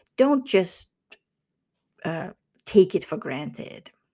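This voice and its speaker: The voice moves at a very slow pace with a dark, mellow tone and very wide pitch swings. The recording is very clean, with a silent background. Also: woman. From Finland. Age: 50s. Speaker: leadership coach. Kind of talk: solo monologue podcast.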